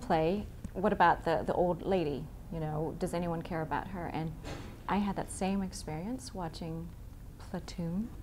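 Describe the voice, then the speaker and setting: A woman's fairly low voice with ordinary pitch variation, a moderate pace and an unremarkable speaking voice. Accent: American. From US East Coast. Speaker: stage actor. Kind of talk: interview.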